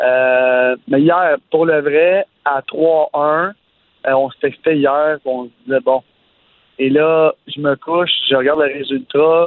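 At a very slow pace, the voice holds fairly even intonation and very even loudness. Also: man, fairly high pitch for a man. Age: 30s. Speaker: entrepreneur and sports/tech commentator. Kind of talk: casual chat.

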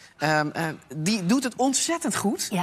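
Over noticeable background noise, a man talks at a fairly slow pace with a high pitch and very wide pitch swings. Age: 40s. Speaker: opinion pollster. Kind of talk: casual chat. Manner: halting.

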